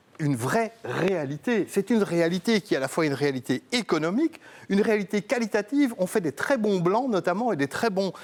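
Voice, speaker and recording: In a dry, close sound with no echo, a man speaks at a moderate pace in a high pitch with very wide pitch swings. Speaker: TV wine columnist. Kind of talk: TV explainer segment.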